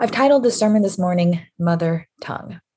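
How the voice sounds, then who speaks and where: Here a woman speaks in a plain, everyday voice. Her pitch is fairly low, with ordinary pitch variation. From US, Korean immigrant family. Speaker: pastor. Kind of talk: sermon.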